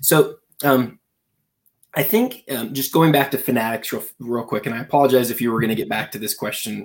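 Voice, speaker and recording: A man talks at a fairly quick pace with medium pitch and ordinary pitch variation. He has an unremarkable speaking voice. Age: 30s. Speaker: sports card magazine publisher and podcaster. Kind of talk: casual chat.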